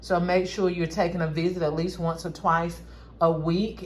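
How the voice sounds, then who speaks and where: A woman's fairly low voice in a North Carolina accent, at a moderate pace, with audible room echo. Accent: Southern US, North Carolina. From rural North Carolina. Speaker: craft and gift-basket YouTuber. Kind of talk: casual tutorial vlog.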